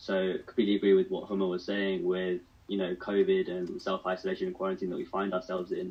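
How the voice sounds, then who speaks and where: A man is speaking. He has a British accent. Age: 20s. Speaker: mental health advocate. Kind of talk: radio panel discussion.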